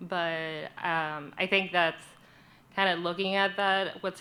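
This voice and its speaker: A woman with a Spanish accent, a bright, sharp tone, fairly low pitch, and monotone, flat intonation. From Puerto Rico. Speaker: journalist. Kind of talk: panel introduction at community forum.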